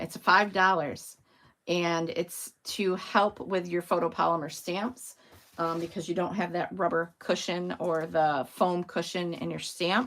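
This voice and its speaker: Putting on a character voice, a woman speaks at a fairly slow pace in a raspy, fairly low pitch with fairly even intonation. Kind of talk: demonstrating crafting products to an audience.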